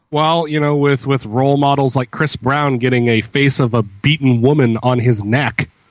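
A man with an ordinary speaking voice, medium pitch, fairly even intonation, moderate pace and hardly any pauses. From Canada. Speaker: podcast co-host. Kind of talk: casual chat. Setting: remote call.

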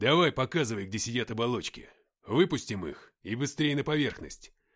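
With a quiet background and ordinary pitch variation, a passage is read aloud in a natural voice.

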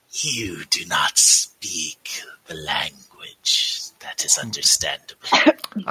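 A very slow, raspy put-on character voice. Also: man. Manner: silky, probing, curious.

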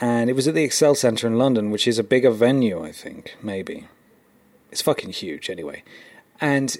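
A man with an unremarkable speaking voice, medium pitch and moderate pace, with lively intonation and big swings in loudness. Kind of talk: casual banter. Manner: sarcastic, joking.

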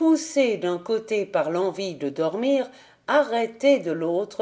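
Lively intonation in a natural reading voice.

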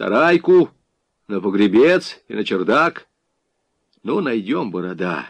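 A man puts on a character voice, fairly low in pitch with big pitch swings. His pace is fairly slow.

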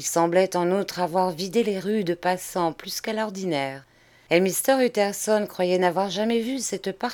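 An unforced reading voice carries the whole clip.

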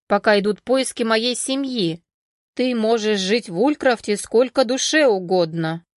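A natural reading voice is heard, and the background stays quiet.

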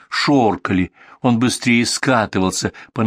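Ordinary pitch variation runs through this unforced voice reading aloud.

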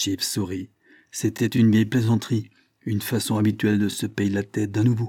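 Over a quiet background, an unforced reading voice is heard.

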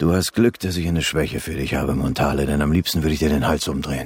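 A put-on character voice with a husky, rough edge moves at a fairly quick pace with fairly even intonation. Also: man, extremely low pitch for a man.

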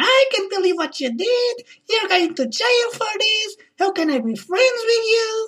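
A woman uses a put-on character voice with an extremely high pitch, speaking at a moderate pace. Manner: hysterical, accusatory.

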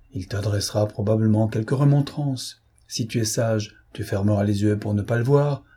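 With ordinary rises and falls in pitch, the lines are simply read aloud in a plain manner.

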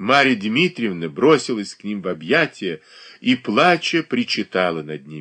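What you hear is a natural reading voice.

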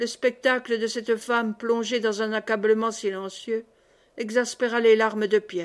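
Here, someone is reading aloud in a natural voice.

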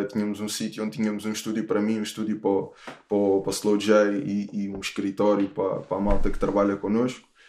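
A man speaks in a dark, mellow tone at a fairly low pitch, with monotone, flat intonation. He goes at a fairly quick pace with hardly any pauses. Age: 30s. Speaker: rapper. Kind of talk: casual chat. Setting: home studio, remote call. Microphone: picking up host's voice without headphones.

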